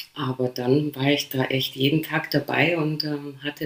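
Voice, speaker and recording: Noticeable background noise sits behind a woman with a Polish accent. Her very deep, low voice keeps fairly even intonation. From Poland, then rural Lower Bavaria near Passau from age 9. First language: Polish (speaking German). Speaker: DJ. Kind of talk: casual interview chat.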